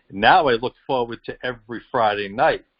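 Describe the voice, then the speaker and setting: A man speaks with a strong Boston accent. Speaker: professional boxer. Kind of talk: interview answer. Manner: passionate.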